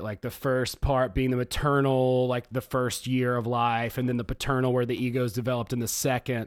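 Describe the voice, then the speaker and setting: A man with a Southern US accent, medium in pitch, at a moderate pace. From US South, Georgia. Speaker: podcast host. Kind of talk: casual chat.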